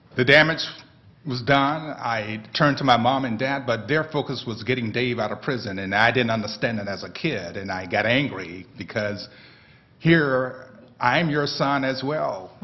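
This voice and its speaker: Audible room echo surrounds a man speaking at a moderate pace, his medium pitch showing ordinary variation. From US South. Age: 60s. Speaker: panelist, brother of wrongfully accused man. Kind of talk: testimony.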